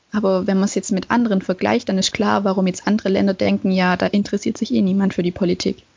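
At a very fast pace and with hardly any pauses, a woman talks in a somewhat breathy voice at a medium pitch. Her loudness stays very even, and her intonation is fairly even. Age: young. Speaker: podcast co-host. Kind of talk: casual discussion. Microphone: no proper mic, bad connection.

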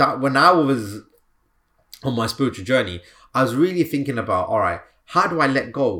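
An animated, upbeat man's voice of medium pitch with vocal fry, very wide pitch swings, a moderate pace, and long, frequent pauses. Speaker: healer and coach podcast host. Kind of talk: guided meditation; motivational solo podcast talk. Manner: animated, upbeat, energetic.

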